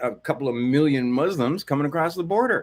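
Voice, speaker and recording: In a very clean recording with a silent background, a man with a fairly high pitch sounds animated, his pitch swinging very widely. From Hawaii. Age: 60s. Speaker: commentary streamer. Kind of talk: reaction commentary.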